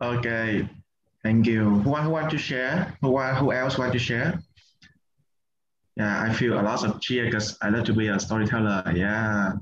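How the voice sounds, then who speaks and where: A man with a Vietnamese accent speaks at medium pitch. His loudness stays very even, broken by long, frequent pauses. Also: ordinary pitch variation, moderate pace. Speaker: meditation and English community facilitator. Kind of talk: online group workshop facilitation.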